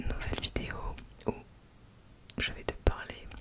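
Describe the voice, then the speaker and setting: Whispering woman with noticeable background noise. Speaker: ASMR content creator. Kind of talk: whispered ASMR storytime talking to the camera. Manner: whispered, soft-spoken.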